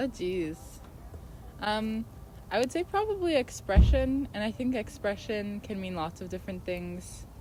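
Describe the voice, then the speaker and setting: The speaker has an American accent and talks at a fairly slow pace. The loudness swings widely, and noticeable background noise is present. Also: woman. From Washington State, Tacoma. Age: 20s. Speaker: artist. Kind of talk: interview. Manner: hesitant, many fillers.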